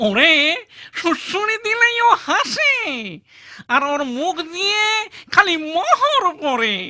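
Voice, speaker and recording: A cartoonish character voice at an extremely high pitch, very slow in pace and full of very wide pitch swings. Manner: pleading, rustic.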